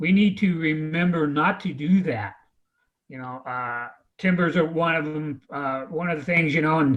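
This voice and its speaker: A man with an American accent talks at a fairly high pitch with ordinary pitch variation. He has an unremarkable speaking voice, and the background is quiet. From Oregon coast, North Bend. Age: 60s. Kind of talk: panel discussion.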